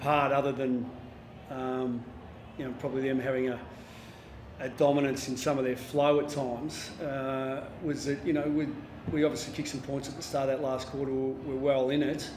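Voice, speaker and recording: A man's monotone, flat delivery at a moderate pace, with light background noise and audible room echo. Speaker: football coach. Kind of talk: press conference answer. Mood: subdued, disappointed after defeat. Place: hall.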